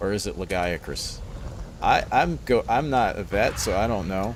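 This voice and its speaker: A man's lively intonation comes through over noticeable background noise. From New Orleans, Louisiana. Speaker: gaming streamer. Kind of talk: live gameplay commentary. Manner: casual, rambling.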